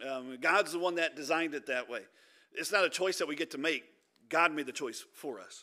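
A man with a Midwestern American accent speaks fairly quickly in a bright, sharp tone with ordinary pitch variation. The recording is very clean, with a silent background. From Michigan, Detroit area. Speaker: pastor. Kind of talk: sermon. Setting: church.

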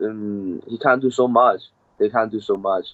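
A man's fairly low voice with a Cantonese accent. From Hong Kong. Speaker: MMA fighter. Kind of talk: interview. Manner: halting.

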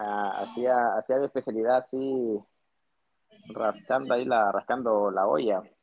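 A man with a plain, everyday voice, medium pitch and ordinary pitch variation. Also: fairly slow pace. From northern Peru (Piura, Trujillo). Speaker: plastic surgeon. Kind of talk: casual interview.

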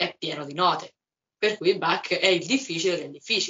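Talking at a fairly quick pace, a woman speaks with a fairly low pitch. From Umbria, Italy. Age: 20s. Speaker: musician and psychology student. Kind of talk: casual interview. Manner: energetic, sunny.

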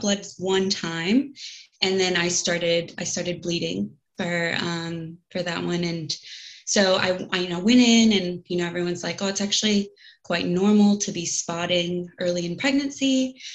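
A plain, everyday voice speaks at a fairly slow pace with an American accent. Its pitch variation is ordinary. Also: woman. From United States. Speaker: podcast guest sharing miscarriage story. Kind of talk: personal testimony in casual interview.

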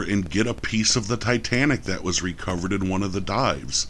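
A man speaks with an American accent. His pitch is fairly low, and his pace is moderate. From New York. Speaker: podcast co-host. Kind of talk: casual chat.

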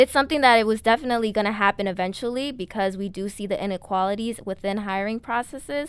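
A woman with an American accent speaks very fast, with ordinary pitch variation. The recording is very clean with a silent background. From New York City (Bronx). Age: young. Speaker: student podcast co-host. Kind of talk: casual chat; interview.

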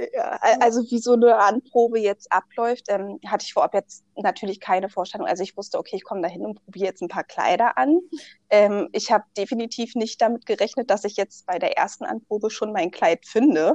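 A woman with an unremarkable speaking voice, fairly high pitch, ordinary pitch variation and a fairly quick pace. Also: dry, close sound with no echo. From Berlin, Germany. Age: 20s. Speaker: bride, insurance clerk. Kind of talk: interview.

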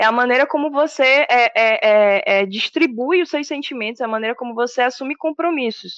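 Over a quiet background, a woman talks at a moderate pace in a high pitch with ordinary pitch variation, the sound dry and close with no echo. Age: 30s. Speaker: administrator and aspiring DJ. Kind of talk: casual interview.

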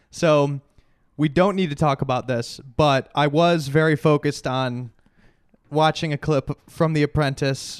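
In a dry, close recording with no echo, a man with an unremarkable speaking voice talks at a fairly slow pace in a fairly high pitch with fairly even intonation. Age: 40s. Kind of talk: casual chat.

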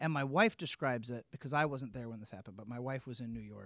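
Talking very fast in a medium pitch with a Midwestern American accent, a man uses ordinary pitch variation in a very clean, silent recording with a dry, close sound and no echo. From Peoria, central Illinois. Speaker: arts promoter. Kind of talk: casual interview chat.

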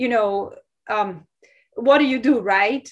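Fairly slow speech in a Portuguese accent, with ordinary pitch variation, on a very clean recording with a silent background. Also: woman. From Brazil, Sao Paulo. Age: 40s. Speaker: architecture professor. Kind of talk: lecture.

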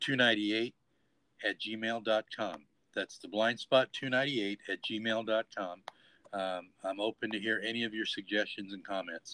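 This man has an unremarkable speaking voice, medium in pitch, with fairly even intonation and a fairly slow pace. The sound is dry and close, with no echo. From Los Angeles, California. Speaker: podcast host. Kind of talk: show outro; interview.

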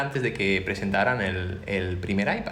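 A man's fairly low-pitched voice at a moderate pace, ordinary pitch variation, with audible room echo and noticeable background noise. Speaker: podcast co-host, software engineer. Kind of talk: casual chat.

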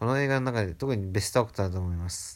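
Talking very fast, a man uses ordinary pitch variation. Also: very clean recording, silent background. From Japan. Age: 20s. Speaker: film fan. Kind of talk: reading aloud.

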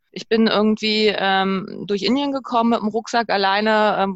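A woman with a normal speaking voice, fairly high in pitch, with fairly even intonation. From Berlin, Germany. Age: 30s. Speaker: interview guest sharing sabbatical experience. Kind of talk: casual interview. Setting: remote call.

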